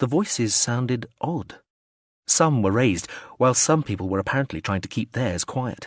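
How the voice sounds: The speaker uses a natural reading voice with lively intonation. The background is quiet.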